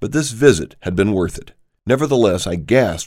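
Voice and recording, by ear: Natural read-aloud voice with lively intonation, over a quiet background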